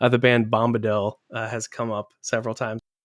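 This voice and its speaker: Speaking fairly quickly with an American accent, a man with a plain, everyday voice and medium pitch comes through dry and close with no echo on a very clean recording with a silent background. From US, North Carolina. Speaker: podcast host. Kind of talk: casual interview chat; scripted narration.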